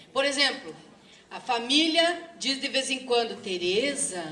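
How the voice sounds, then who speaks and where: A woman talks at a fairly slow pace in a high voice. Audible room echo and noticeable background noise surround her. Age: 60s. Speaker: teacher and activist speaker. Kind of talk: lecture. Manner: halting.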